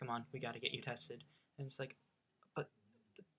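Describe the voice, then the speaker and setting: A woman with an American accent, her voice somewhat breathy. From US, Norwegian family. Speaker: vlogger. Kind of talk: casual storytelling. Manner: animated.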